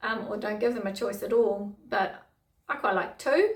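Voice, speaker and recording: A somewhat breathy woman talks at a fairly slow pace with a fairly high pitch. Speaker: teacher giving tips to teachers. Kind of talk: casual tutorial monologue.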